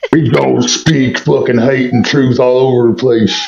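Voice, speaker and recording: This is a man doing a put-on character voice. He keeps a medium pitch and a moderate pace. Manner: grumpy, gruff.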